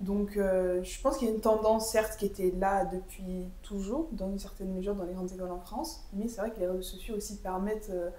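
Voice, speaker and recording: With audible room echo, a medium-pitched woman talks at a fairly quick pace, hardly pausing, her intonation fairly even. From Guinea. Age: 20s. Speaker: university student, association co-founder. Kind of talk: podcast interview.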